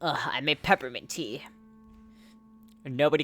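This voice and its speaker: Moderate pace, with music in the background. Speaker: video game streamer. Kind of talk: casual live gameplay commentary. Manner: casual, scattered self-talk.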